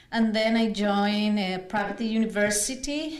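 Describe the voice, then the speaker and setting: A woman with a Spanish accent speaks at a fairly slow pace with ordinary pitch variation, and audible room echo surrounds her voice. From Colombia, Bogota. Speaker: navy officer and lawyer. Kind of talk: personal testimony.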